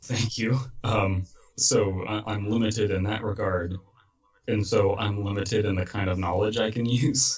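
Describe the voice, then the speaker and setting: A man with an American accent speaks in a somewhat breathy, fairly low voice at a moderate pace, his intonation fairly even. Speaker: podcast host and horror story narrator. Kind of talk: casual chat.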